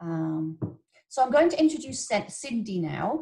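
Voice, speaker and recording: A woman with an English accent speaks in a somewhat breathy voice with very wide pitch swings. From England. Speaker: webinar host. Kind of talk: webinar introduction. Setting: video call.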